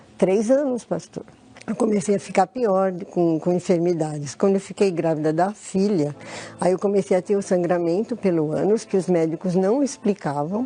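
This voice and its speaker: Noticeable noise sits behind a woman who talks at a moderate pace. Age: 60s. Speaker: church member giving testimony. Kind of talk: testimony. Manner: halting.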